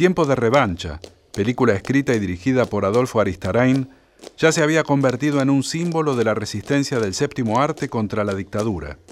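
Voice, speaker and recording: A man with an unremarkable speaking voice talks at a fairly quick pace, his pitch medium and his intonation lively. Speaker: documentary narrator. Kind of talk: scripted narration.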